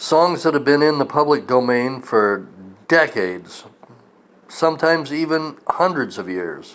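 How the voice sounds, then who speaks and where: This man's voice is fairly high. His intonation is lively. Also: fairly slow pace. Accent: American. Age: 60s. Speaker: military veteran and video blogger. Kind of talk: opinion rant. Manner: animated.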